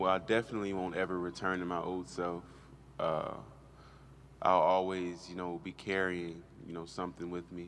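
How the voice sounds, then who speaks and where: With light background noise behind him, a man talks at a moderate pace in a very deep, low voice, his intonation monotone and flat, with long, frequent pauses. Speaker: college football player. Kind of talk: press interview. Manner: halting. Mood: reflective, somber yet hopeful. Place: hall. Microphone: podium.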